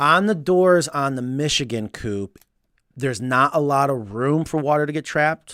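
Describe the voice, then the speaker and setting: A man's voice, with ordinary pitch variation, comes through on a very clean recording against a silent background. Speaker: chicken coop builder and live show host. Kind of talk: casual live Q&A chat. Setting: live stream studio. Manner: fast.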